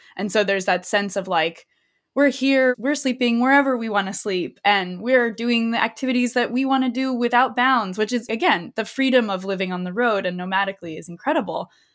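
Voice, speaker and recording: In a very clean recording with a silent background, a woman with an ordinary speaking voice talks at a fairly quick pace in a fairly high pitch, with ordinary pitch variation and hardly any pauses. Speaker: podcast host. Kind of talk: conversational interview.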